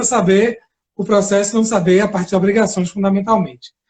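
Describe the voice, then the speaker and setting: The speaker talks at a fairly quick pace with a Bahian accent. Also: man. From Bahia, Brazil. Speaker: law professor and lawyer. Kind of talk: lecture-style live interview. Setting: Instagram live video.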